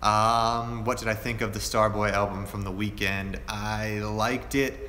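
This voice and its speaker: Fairly slow and relaxed in tone, a man with an American accent speaks at a fairly low pitch in a monotone, flat intonation, with audible room echo. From Pennsylvania, Erie. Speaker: fashion youtuber. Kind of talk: live stream q&a. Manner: casual, relaxed.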